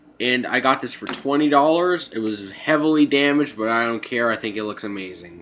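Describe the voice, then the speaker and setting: Noticeable background noise sits under a man whose voice is pitched in the middle range. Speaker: toy collector vlogger. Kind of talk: haul video monologue. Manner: halting, filler-heavy.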